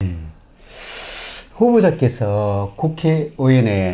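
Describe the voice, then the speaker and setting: Very wide pitch swings at a very slow pace. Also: man. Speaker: local news interviewer. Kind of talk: political candidate interview.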